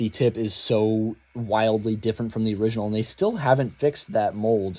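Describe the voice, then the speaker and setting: A man in an ordinary speaking voice talks at a fairly quick pace. His pitch is medium and his intonation fairly even. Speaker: toy collector YouTuber. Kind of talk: unboxing review. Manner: casual with many fillers.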